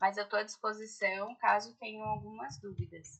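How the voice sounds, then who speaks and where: A woman talks at a medium pitch in a bright, sharp tone. Her pace is fairly slow. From Brazil, Ribeirão Preto (São Paulo state). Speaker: orthodontics lecturer. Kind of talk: online lecture. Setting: video call. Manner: slow and deliberate.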